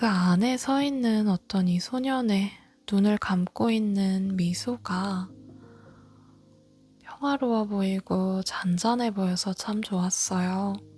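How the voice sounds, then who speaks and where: Against music in the background, the voice moves at a very slow pace in a calm tone, with very even loudness and ordinary pitch variation. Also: woman, medium pitch for a woman. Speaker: audiobook narrator. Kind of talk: book introduction and read-aloud. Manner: calm, soft-spoken.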